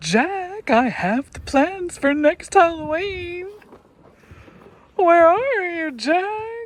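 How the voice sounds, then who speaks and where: A woman's put-on character voice, extremely high-pitched and very slow, with lively intonation and big swings in loudness. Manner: goofy.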